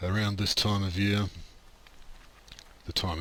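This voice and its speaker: A man speaks in a relaxed tone with an Australian accent. His tone is bright and sharp. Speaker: video game streamer. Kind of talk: gameplay commentary. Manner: casual, relaxed.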